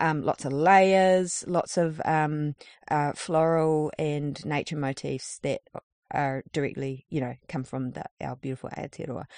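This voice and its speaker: A woman speaks with a New Zealand accent at a fairly slow pace, her pitch very deep and low. Her intonation stays fairly even, and the sound is dry and close with no echo against a quiet background. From New Zealand, far north. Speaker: street artist. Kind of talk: interview. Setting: in a campervan.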